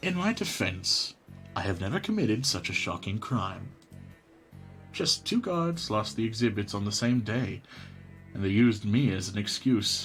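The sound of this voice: In a put-on character voice, a man speaks fairly low and fairly slowly with lively intonation, a slightly husky edge and a fairly bright tone, while faint music plays in the background.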